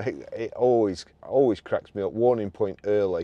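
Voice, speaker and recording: At a moderate pace, a man speaks in a dry sound with no echo. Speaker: car reviewer. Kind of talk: casual car review commentary. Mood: relaxed, amused. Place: car. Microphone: camera far.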